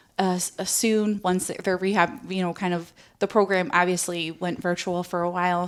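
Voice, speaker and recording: A woman with an American accent has a medium pitch and an unremarkable speaking voice. She talks at a moderate pace in a very clean recording with a silent background. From Connecticut, New Haven. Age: 30s. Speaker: community volunteer and advocate. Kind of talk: interview testimony. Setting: podcast.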